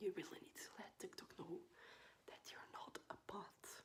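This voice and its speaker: A whisper moves along at a fairly slow pace. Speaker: ASMR creator. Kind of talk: ASMR whisper ramble. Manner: whispered.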